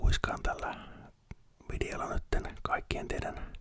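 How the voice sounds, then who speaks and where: Over noticeable background noise, a man whispers at a very slow pace. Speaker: ASMR creator. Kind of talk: ASMR whisper talk to viewers. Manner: whispered.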